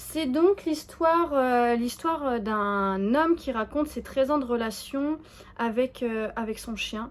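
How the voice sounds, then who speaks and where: A woman talks at a fairly slow pace with fairly high pitch and ordinary pitch variation. The recording is very clean, with a silent background. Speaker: knitting vlogger. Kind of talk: casual vlog chat to camera. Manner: hesitant, many fillers and restarts.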